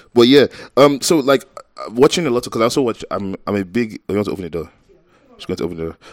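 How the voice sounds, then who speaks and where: At a very fast pace, a man of medium pitch speaks with big swings in loudness, in a dry, close sound with no echo. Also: lively intonation. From Nigeria. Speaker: podcast co-host. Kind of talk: casual chat.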